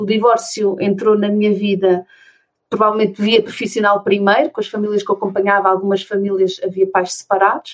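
A woman with a plain, everyday voice speaks fairly quickly at a medium pitch. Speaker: special education therapist and conscious divorce mentor. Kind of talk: interview conversation.

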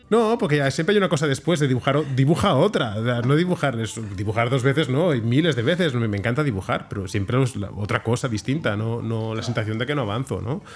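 A man's medium-pitched voice at a very fast pace, with lively intonation, hardly any pauses, and noticeable background noise. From Barcelona, Sants. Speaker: comic book artist. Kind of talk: interview. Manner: halting with frequent word repetitions.

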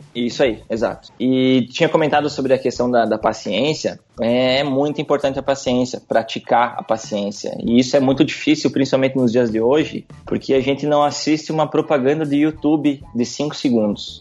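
At a moderate pace with hardly any pauses, this unremarkable speaking voice keeps a fairly even intonation. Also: man, medium pitch for a man. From Rio Grande do Sul, Brazil (interior town). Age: 20s. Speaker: wedding photographer. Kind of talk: podcast interview.

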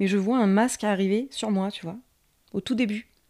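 Recorded very cleanly against a silent background, a woman at medium pitch speaks at a moderate pace with a dark, mellow tone and fairly even intonation. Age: 30s. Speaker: nursery nurse, new mother telling birth story. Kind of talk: birth story testimony.

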